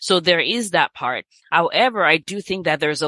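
A woman with a Nigerian accent speaks in a bright, sharp tone, her voice dry and close with no echo against a quiet background. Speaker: physician. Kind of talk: casual interview.

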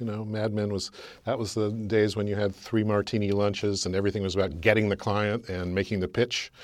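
In a very clean recording with a silent background, a man with a normal speaking voice and a General American accent talks fairly quickly at a fairly low pitch. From California, US. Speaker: author and branding expert. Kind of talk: interview.

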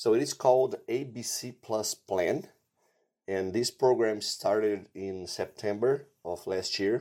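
A man speaks with a Portuguese accent and ordinary pitch variation. The recording is very clean, with a silent background. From Brazil. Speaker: animal nutrition scientist. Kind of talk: interview.

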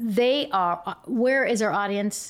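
A woman with an American accent speaks very slowly with ordinary pitch variation in a very clean recording with a silent background. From Yakima, Washington. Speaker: investigative TV news reporter. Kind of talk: casual interview chat. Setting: lawyer's office. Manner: talkative.

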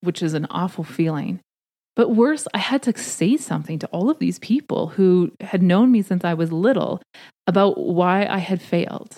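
A woman speaks with a western Canadian accent, her dark, mellow tone carried by lively intonation in a dry, close recording with no echo. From Canada, rural southern Alberta. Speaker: podcast host, career coach for PhDs. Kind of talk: solo podcast monologue, advice talk.

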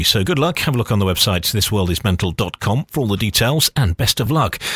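Talking at a very fast pace, a man delivers his words with lively intonation. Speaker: radio presenter. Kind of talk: casual chat.

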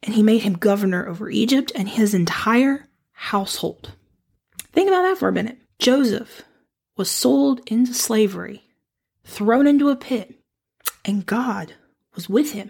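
With a warm tone and a somewhat breathy quality, a woman talks at a fairly high pitch and a moderate pace, her intonation lively and her pauses long and frequent. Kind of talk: devotional talk on scripture. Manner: warm and encouraging; laughs often.

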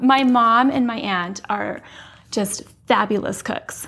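A woman speaks at a very slow pace. Noticeable background noise runs beneath her. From Utah. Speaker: former political staffer. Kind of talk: casual chat.

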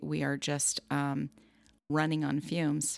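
Vocal fry marks this voice with an American accent, recorded dry and close with no echo. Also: woman. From Southern California. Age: 50s. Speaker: life coach. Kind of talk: interview.

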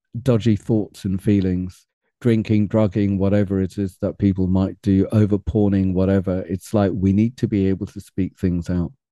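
In a British accent, a man with a dark, mellow tone and fairly low pitch speaks in a monotone, flat way, the sound dry and close with no echo. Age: 50s. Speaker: men's personal development coach. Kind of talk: interview.

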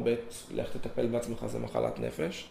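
Audible room echo around a male voice of medium pitch, delivered at a moderate pace. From southern Israel, Gan Yavne, Moroccan family. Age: 20s. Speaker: former yeshiva student sharing personal story. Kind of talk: personal testimony.

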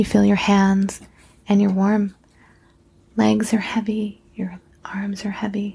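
Speaking very slowly with long, frequent pauses, a woman uses a soothing, calm tone that is dark, mellow and somewhat breathy, at medium pitch with monotone, flat intonation. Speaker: guided meditation host and nurse practitioner. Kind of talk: guided meditation. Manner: slow, soothing, calm; gentle, hushed, measured.

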